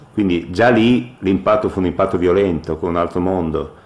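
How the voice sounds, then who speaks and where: Noticeable noise can be heard in the background while a man talks. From northern Italy, Ferrara (Emilia-Romagna). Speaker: retired professional football goalkeeper. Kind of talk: radio interview.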